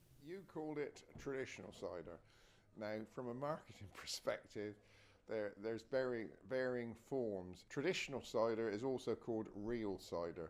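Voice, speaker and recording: A speaker with a West Country accent talks at a moderate pace. The intonation is lively. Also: man, medium pitch for a man. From West Country England. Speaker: cider maker. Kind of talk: interview. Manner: halting.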